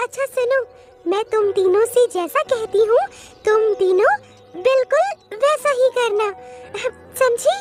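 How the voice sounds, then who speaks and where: Clear music plays behind a woman using a cartoonish character voice. Her pitch is extremely high and her pace fairly slow. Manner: brisk, sensible.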